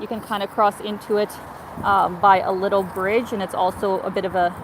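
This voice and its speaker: This woman has a Canadian accent and a medium pitch. She talks at a moderate pace over noticeable background noise. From Canada. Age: 30s. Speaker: travel vlogger. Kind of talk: live stream chat. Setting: outdoors walking city streets. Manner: animated.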